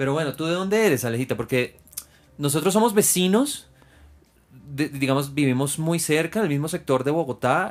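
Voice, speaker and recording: A man speaks in a plain, everyday voice, with lively intonation at a fairly quick pace. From Venezuela. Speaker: podcast host, flight attendant. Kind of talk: interview.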